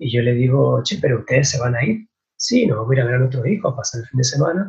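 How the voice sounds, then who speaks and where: Somewhat breathy, a man speaks at a fairly quick pace. His voice is medium in pitch with ordinary variation. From Argentina, San Martín, Mendoza. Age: 20s. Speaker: winemaker. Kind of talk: interview.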